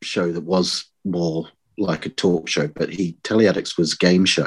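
A man talks with a New Zealand accent. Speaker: podcast guest, fan. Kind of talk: casual chat. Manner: hesitant, many fillers.

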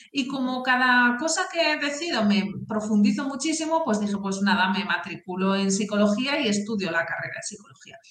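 A woman with a fairly high pitch talks at a fairly quick pace with hardly any pauses and lively intonation. Noticeable background noise runs behind her. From northern Spain (Asturias). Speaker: career and talent development expert, author. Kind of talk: interview.

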